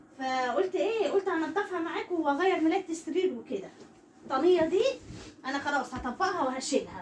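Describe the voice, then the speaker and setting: At a moderate pace, a woman speaks in an extremely high pitch with lively intonation. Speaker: vlogger. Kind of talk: home vlog chat. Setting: bedroom at home. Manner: soft-spoken.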